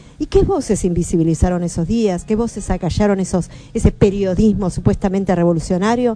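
A woman of medium pitch speaks at a fairly quick pace with ordinary pitch variation over noticeable background noise. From Argentina, Patagonia (Bahía Blanca). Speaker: Mapuche activist and author. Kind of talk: radio interview. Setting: radio studio.

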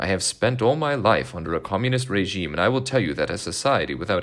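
Vocal fry runs through a man's speech. His pitch swings very widely. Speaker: podcast host reading a speech aloud. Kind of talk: formal reading aloud of a 1970s commencement address, measured and solemn.

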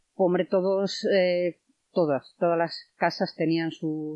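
Here is a woman with an unremarkable speaking voice and fairly low pitch. She talks at a fairly slow pace with fairly even intonation. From Spain, León province village. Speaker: villager and tour guide. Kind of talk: casual interview.

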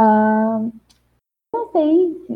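A woman's somewhat breathy voice, fairly high in pitch, carries lively intonation. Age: young. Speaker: podcast panelist. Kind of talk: personal testimony.

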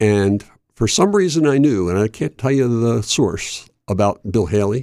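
A dark, mellow tone with an American accent, ordinary pitch variation, and a dry, close sound with no echo. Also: man. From Chester, Pennsylvania (Delaware Valley). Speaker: college radio DJ, bluegrass show host. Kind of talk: casual interview. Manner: hesitant, many fillers.

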